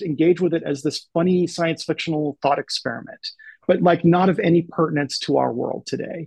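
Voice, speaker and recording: High-pitched male speech at a fairly quick pace, dry and close with no echo. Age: 40s. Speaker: novelist and creative writing professor. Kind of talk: casual interview chat.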